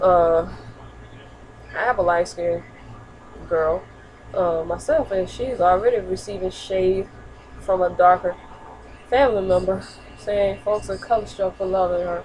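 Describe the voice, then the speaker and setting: A woman's medium-pitched voice, fairly slow with long, frequent pauses and ordinary pitch variation, over noticeable background noise. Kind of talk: casual talk to camera. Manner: stuttering.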